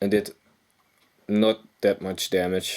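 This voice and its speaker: In a Dutch accent, a man speaks fairly slowly with a monotone, flat delivery. His voice is fairly low in pitch, with a dark, mellow tone. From Netherlands. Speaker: gaming youtuber. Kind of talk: game commentary. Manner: casual, halting with self-corrections.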